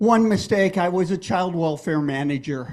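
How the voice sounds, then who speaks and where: This is a man speaking at a high pitch. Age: 70s. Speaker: lay speaker giving a sermon. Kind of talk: sermon. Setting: church.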